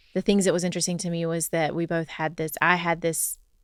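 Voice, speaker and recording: The voice has a Southern US accent and a monotone, flat intonation at a fairly quick pace. The recording is very clean, with a silent background. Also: woman. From US South. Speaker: podcast co-host. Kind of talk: casual chat.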